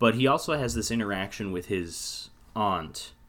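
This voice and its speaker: A man speaks in a bright, sharp tone with ordinary pitch variation. The recording is very clean, with a silent background. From North America. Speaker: film podcast host. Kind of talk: casual chat.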